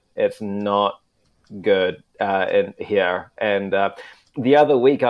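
The speaker is a man. He has a New Zealand accent. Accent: Kiwi. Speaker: international news correspondent. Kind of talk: casual chat. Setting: remote call from Tokyo.

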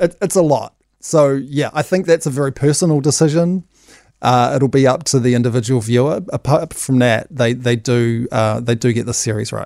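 Recorded dry and close with no echo, a man speaks at a moderate pace in a medium pitch, with ordinary pitch variation and a dark, mellow tone. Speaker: entertainment commentator. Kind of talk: casual radio chat. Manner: casual, fillers like kinda.

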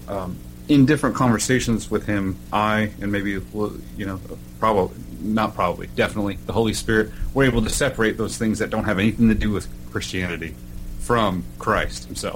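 With an American accent, a man speaks at a fairly quick pace and a fairly low pitch. His pitch varies in an ordinary way, and music plays in the background. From Oklahoma. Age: 30s. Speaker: podcast host, military veteran. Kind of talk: casual interview. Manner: halting, many fillers.

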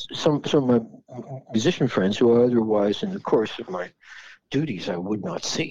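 A man with a dark, mellow tone speaks at a moderate pace, his intonation lively. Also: medium pitch for a man. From Philadelphia area, Pennsylvania. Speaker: rock guitarist. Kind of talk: casual interview chat. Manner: halting, with many repetitions.

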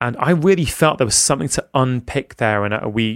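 With a normal speaking voice, a man talks fairly quickly at a medium pitch, his intonation lively. The recording is very clean with a silent background and a dry, close sound with no echo. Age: 40s. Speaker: physician and podcaster. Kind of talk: casual interview conversation.

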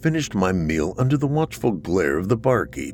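This is plain reading aloud. The text is read through.

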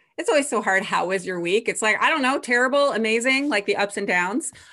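Against a quiet background, a woman talks in a bright, sharp tone with ordinary pitch variation. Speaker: screenwriter and podcast host. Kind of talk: casual interview.

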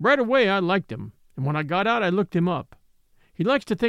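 Reading aloud in a natural voice, full of lively intonation

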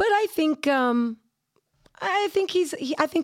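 Her pitch swings very wide. The woman talks at a fairly slow speed. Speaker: comedian and producer. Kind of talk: casual chat.

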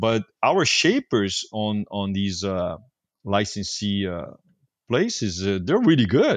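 A man speaks very slowly in a fairly low voice. His pitch varies in an ordinary way. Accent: Portuguese. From Brazil, Rio de Janeiro. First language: Portuguese. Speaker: surfboard shaper. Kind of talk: casual interview. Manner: hesitant, with many fillers.

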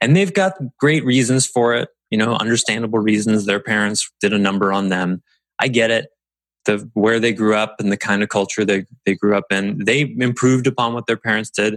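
A man's fairly low, fairly quick delivery with fairly even intonation, a plain, everyday voice, and dry, close sound with no echo. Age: 40s. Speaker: podcast host and business coach. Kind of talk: solo podcast monologue.

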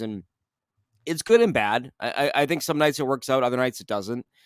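Heard in a dry, close sound with no echo, a man with an unremarkable speaking voice talks at a fairly quick pace, medium pitch and ordinary pitch variation. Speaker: sports radio reporter, guest. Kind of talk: casual sports podcast chat.

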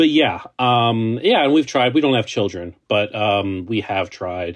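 This is a man with an ordinary speaking voice. He speaks at a medium pitch and a fairly slow pace. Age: 20s. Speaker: journalist. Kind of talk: interview.

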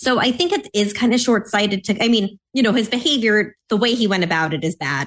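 Speaking at a very fast pace, a woman shows a slight Mid-Atlantic accent. The background is quiet. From US Mid-Atlantic. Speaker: policy analyst. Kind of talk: casual chat.

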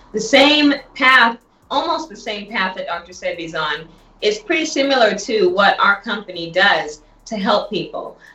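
A woman's fairly high voice with very wide pitch swings over noticeable background noise. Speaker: health product entrepreneur. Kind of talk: sales pitch. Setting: phone call.

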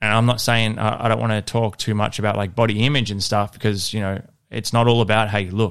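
A man at a fairly low pitch with an Australian accent, talking at a very fast pace, in a very clean recording with a silent background. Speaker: fitness coach and podcast host. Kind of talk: solo podcast monologue. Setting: home studio. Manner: casual, conversational.

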